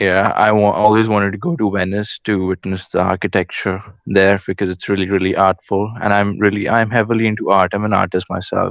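A man with an Indian accent and a fairly low pitch speaks at a fairly quick pace with hardly any pauses, in a flat monotone, with a dry, close sound and no echo. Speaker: caller, business student. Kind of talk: casual chat. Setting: remote call-in.

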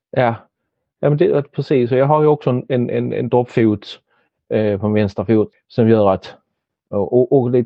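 Pitch moves in an ordinary way as a man talks. His speed is moderate. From Helsingborg, southern Sweden. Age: 50s. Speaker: stroke survivor, former actor and entertainer. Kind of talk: casual interview. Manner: halting, many repetitions.

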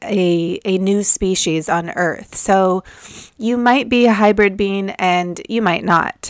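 A woman's medium-pitched voice, nervous and excited in tone, with a dry, close sound and no echo. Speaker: spiritual podcast host and Akashic Records reader. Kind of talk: solo monologue about spiritual experiences. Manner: nervous, excited about channeling.

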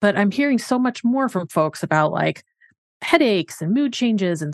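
A woman with a plain, everyday voice talks at a moderate pace, her medium pitch carried by lively intonation. The background is quiet and the sound dry and close with no echo. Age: 40s. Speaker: physician, podcast co-host. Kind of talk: casual chat.

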